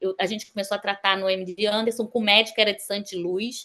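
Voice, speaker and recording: A woman speaks in a medium pitch. Her tone is bright and sharp. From Brazil, Rio de Janeiro. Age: 50s. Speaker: sonography technician and dentist. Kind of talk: interview testimony. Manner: halting, with many fillers.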